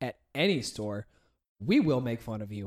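Recorded very cleanly against a silent background, a man talks at a moderate pace in an ordinary speaking voice. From United States. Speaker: podcast host. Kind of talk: casual comedic chat.

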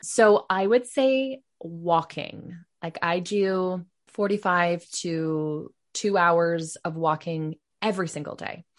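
A woman speaks at a very slow pace in a fairly low pitch, with ordinary pitch variation over a quiet background. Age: 30s. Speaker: former massage therapist and podcaster. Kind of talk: casual interview chat.

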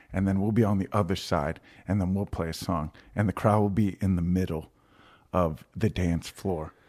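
The recording is very clean, with a silent background. An American accent comes through at a moderate pace with fairly even intonation. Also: man, very deep, low pitch for a man. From Virginia, US. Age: 30s. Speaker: musician. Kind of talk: casual chat.

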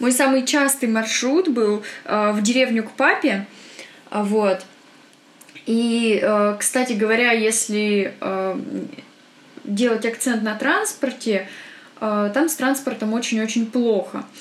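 Over noticeable background noise, a woman with a fairly high pitch speaks at a very slow pace, leaving long, frequent pauses. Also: ordinary pitch variation. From Perm, Russia. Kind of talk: casual chat.

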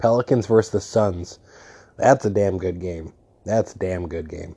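A man with an American accent speaks in a dark, mellow tone with ordinary pitch variation against a quiet background. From New York State (outside the city). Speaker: podcast host. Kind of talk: casual solo monologue. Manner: mumbling at times.

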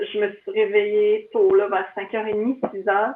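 Very slowly, a woman speaks at a fairly high pitch in a monotone, flat intonation. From Quebec, Laurentides (Mont-Laurier area). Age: 40s. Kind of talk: casual interview chat.

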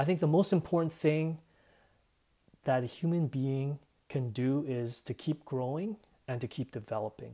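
On a very clean recording with a silent background, a man with a Canadian accent and a dark, mellow tone talks at a moderate pace with long, frequent pauses, a fairly high pitch and ordinary pitch variation. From Canada. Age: 30s. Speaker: podcaster. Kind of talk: personal monologue.

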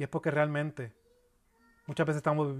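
A man is speaking. His pace is fairly quick. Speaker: pastor. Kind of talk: sermon. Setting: church. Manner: earnest, expository preaching, steady teaching pace with pauses and repeats.

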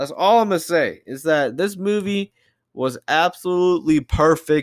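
Against a very clean, silent background, a man talks at a fairly slow pace with ordinary pitch variation. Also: dry, close sound with no echo. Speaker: podcast host. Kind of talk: casual solo monologue. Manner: animated.

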